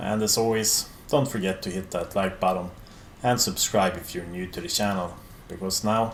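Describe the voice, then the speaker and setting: A man at a moderate pace with a Swedish accent, very deep, low pitch and fairly even intonation. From Sweden. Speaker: metal YouTuber. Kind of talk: Q&A video monologue.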